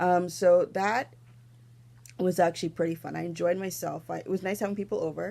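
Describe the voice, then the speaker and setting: A woman's dark, mellow voice with fairly even intonation on a very clean recording with a silent background. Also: fairly low pitch for a woman, fairly quick pace, big swings in loudness. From Toronto, Canada. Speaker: knitting podcaster. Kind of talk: casual vlog chat. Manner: fast.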